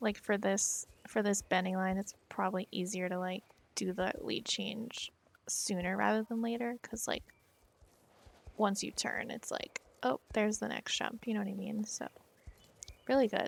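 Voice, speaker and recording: A soft-spoken woman leaves long, frequent pauses. Her fairly even intonation comes through a dry, close sound with no echo. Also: medium pitch for a woman, moderate pace. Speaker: riding clinic instructor in online game. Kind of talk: live coaching feedback. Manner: sounds sarcastic when nice.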